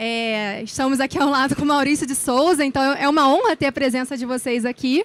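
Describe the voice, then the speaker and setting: With a Rio de Janeiro accent, a woman speaks at a moderate pace in a high pitch with ordinary pitch variation, and the sound is dry and close with no echo. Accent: carioca accent, noticeable. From Brazil, Rio de Janeiro. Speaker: speaker, journalist and lecturer. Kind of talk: conference talk. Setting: stage with audience.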